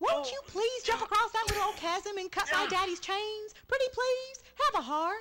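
A put-on, squeaky character voice that sounds female uses a Southern accent at an extremely high pitch. It moves along at a moderate pace. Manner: pleading, sweet.

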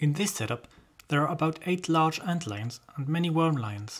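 A fairly slow voice with a non-native accent. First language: not English. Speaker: amateur naturalist. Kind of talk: educational nature documentary narration.

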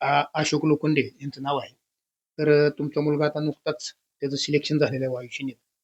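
Recorded with a dry, close sound and no echo, a man talks in a fairly high, monotone, flat voice. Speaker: local news reporter. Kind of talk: field interview. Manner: repetitive.

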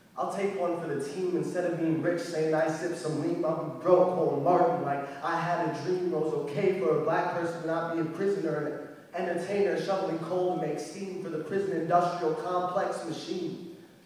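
In a room with strong echo, a high-pitched man speaks at a moderate pace with hardly any pauses and a monotone, flat intonation. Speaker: poet. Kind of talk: spoken word poetry performance. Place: hall. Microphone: camera far.

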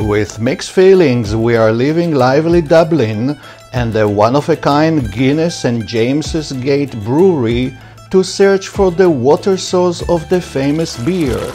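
At a fairly slow pace, a man talks while faint music sounds behind him. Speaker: travel vlogger. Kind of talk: travel documentary narration.

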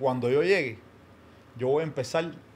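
This man talks at a moderate pace. His voice sits fairly high for a man, with ordinary pitch variation. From Cuba. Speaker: comedy content creator. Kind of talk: casual chat. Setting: studio. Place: studio. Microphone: studio mic.

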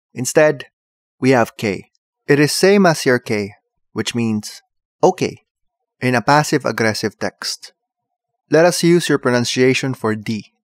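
Long, frequent pauses break up this man's fairly slow speech in a Filipino accent, and his intonation is lively. The recording is very clean, with a silent background. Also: medium pitch for a man, dry, close sound with no echo. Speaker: tutorial presenter. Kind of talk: comedic tutorial. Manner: animated, humorous.

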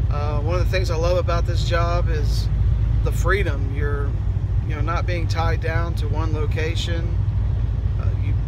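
Over loud background noise, a man's voice comes through dry with no echo. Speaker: truck driver trainer. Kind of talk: casual vlog chat. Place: car. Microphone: phone near.

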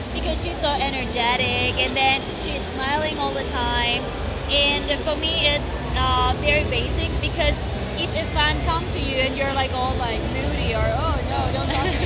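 Over music in the background, a woman speaks at a moderate pace, and the sound is dry with no echo. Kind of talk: interview answer. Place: hall. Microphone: handheld.

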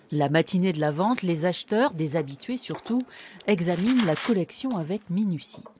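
A woman speaks at a fairly low pitch with lively intonation. Noticeable background noise is present. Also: moderate pace. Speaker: TV news reporter. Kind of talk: scripted news report narration.

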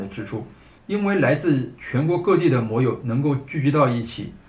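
A man talks at a moderate pace with audible room echo around him. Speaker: motorcycle vlogger. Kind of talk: casual vlog commentary. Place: home room.

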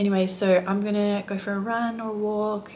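Over light background noise, a woman with an Australian accent speaks in a monotone, flat intonation. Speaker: flight attendant; flight attendant vlogger. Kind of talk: casual vlog talk to camera. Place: home room. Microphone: phone near.

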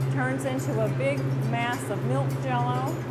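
Music sits in the background. Over it, a woman talks at a fairly slow pace. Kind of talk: interview answer. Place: factory. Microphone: lapel.

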